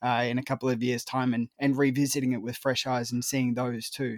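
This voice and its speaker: In a very clean recording with a silent background and a dry, close sound with no echo, a man with an Australian accent talks at a fairly quick pace and medium pitch with fairly even intonation. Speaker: film critic. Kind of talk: casual chat.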